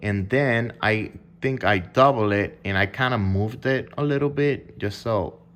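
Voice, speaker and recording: Medium-pitched male speech at a fairly slow pace, in a non-native accent. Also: ordinary pitch variation. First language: not English. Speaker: music producer. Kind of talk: casual explanation of music production. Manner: hesitant, filler-heavy.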